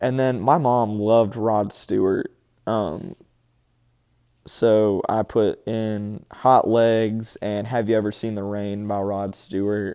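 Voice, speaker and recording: Speaking very slowly with an Alabama accent, a man uses a fairly low pitch, a dark, mellow tone and fairly even intonation. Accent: Southern US (Alabama). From Alabama, US South. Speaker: podcast host. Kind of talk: casual solo podcast talk. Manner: halting, many fillers.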